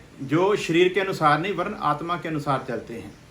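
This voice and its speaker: With audible room echo, the speaker talks at a moderate pace using lively intonation. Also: man. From Punjab, India. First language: Punjabi (speaking Hindi). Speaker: pastor. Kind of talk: sermon.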